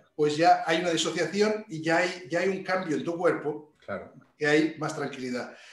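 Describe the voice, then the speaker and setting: A man talks at a moderate pace in a fairly high voice with fairly even intonation. Audible room echo surrounds him. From Spain, Barcelona. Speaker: executive coach. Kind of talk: interview.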